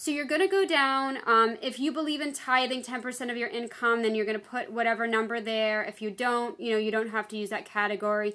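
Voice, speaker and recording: This woman has a normal speaking voice, fairly high in pitch, with ordinary pitch variation, a fairly quick pace and hardly any pauses. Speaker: psychotherapist and yoga teacher. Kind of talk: tutorial.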